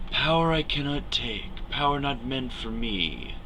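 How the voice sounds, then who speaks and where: A man puts on a character voice that is raspy and hissing, with a fairly high pitch. He speaks at a fairly slow pace over clear background noise. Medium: read story. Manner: mocking, whispering, menacing.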